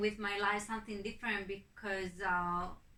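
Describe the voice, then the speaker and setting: This woman has a medium pitch, a bright, sharp tone and monotone, flat intonation, speaking with a non-native accent. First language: not English. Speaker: migrant interviewee. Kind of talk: interview testimony. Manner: hesitant, many fillers.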